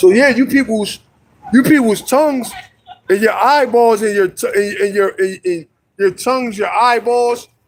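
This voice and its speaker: A loud man with a high pitch, moderate pace and ordinary pitch variation. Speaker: street preacher. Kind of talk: street preaching livestream.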